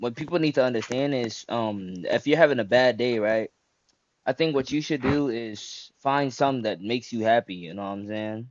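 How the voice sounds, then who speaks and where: A man speaks at a medium pitch and moderate pace with ordinary pitch variation. His is an unremarkable speaking voice. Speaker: interviewee giving advice. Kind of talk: casual chat.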